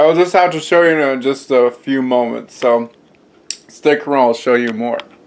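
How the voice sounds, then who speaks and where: Noticeable background noise runs under a man's medium-pitched voice. He speaks at a moderate pace with ordinary pitch variation. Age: 20s. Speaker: home cooking and health vlogger. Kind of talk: casual vlog with taste test. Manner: hesitant with many fillers; improvised, on the fly.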